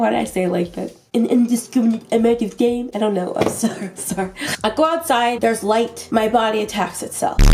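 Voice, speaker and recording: Music plays in the background as a woman speaks at a fairly quick pace. Her fairly high pitch carries an animated tone with ordinary pitch variation. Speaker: vlogger. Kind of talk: storytime vlog. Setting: filming at home late at night.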